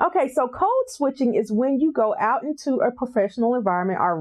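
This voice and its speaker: This voice carries a strong Southern US accent at a very fast pace. The pitch swings very widely. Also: woman. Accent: deep Southern US. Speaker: mental health counselor. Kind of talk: interview chat.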